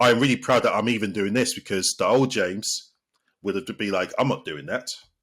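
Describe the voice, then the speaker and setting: A man with a British accent, at a fairly quick pace. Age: 30s. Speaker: sports therapist. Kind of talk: podcast interview. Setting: podcast. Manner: halting, with repeated words.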